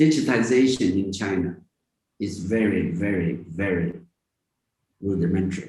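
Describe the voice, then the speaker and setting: A man talks at a moderate pace with long, frequent pauses and ordinary pitch variation. His tone is dark and mellow, and somewhat breathy. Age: 80s+. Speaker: tech entrepreneur. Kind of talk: interview.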